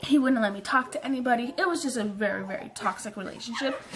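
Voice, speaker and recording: Amid noticeable background noise, a woman with a high pitch speaks very fast with ordinary pitch variation. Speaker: vlogger. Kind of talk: story time vlog. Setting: bedroom. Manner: animated.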